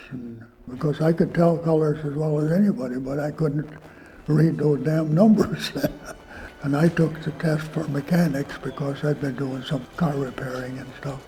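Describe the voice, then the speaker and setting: Amid noticeable background noise, a man with an Upper Midwest accent talks at a moderate pace, his fairly high voice keeping a fairly even intonation. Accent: Upper Midwest American. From Minnesota. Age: 90s. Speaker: war veteran. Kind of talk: interview storytelling. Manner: halting.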